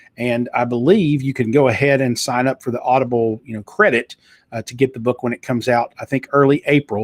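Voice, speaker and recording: Speaking with a Southern US accent at a fairly quick pace, a man with a medium pitch comes through in a very clean recording, background silent, sound dry and close with no echo. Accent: Southern US twang. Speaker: talk show host and author. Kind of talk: live talk show. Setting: live video stream. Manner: animated.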